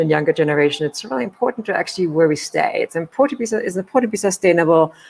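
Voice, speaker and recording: A woman with a German accent talks at a very fast pace. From Germany. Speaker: hospitality executive and leadership coach. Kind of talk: interview.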